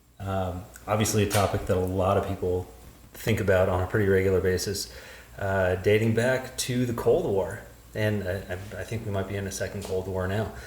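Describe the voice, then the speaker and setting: A fairly low-pitched man with a normal speaking voice, fairly even intonation, and a moderate speed. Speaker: podcast host. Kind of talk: casual podcast conversation.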